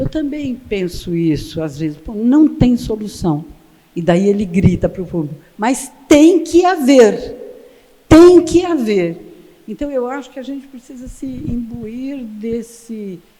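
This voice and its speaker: A woman speaks very slowly in a dark, mellow tone at a fairly high pitch. Her pitch swings very widely, and her loudness rises and falls a great deal. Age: 80s+. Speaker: photographer. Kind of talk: lecture. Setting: stage with audience. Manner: animated.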